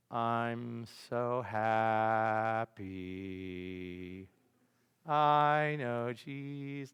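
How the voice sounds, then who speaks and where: A man puts on a character voice at medium pitch. He speaks at a very slow pace. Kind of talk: dutiful, pious phrasing. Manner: flat, joyless.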